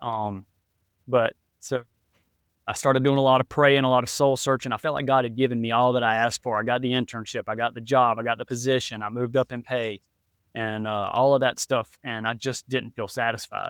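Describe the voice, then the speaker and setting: A man with an American accent at a fairly quick pace, medium pitch and monotone, flat intonation, in a very clean, dry, close recording with a silent background and no echo. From South Carolina, Florence. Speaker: real estate investor. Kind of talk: interview. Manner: fast, rambling.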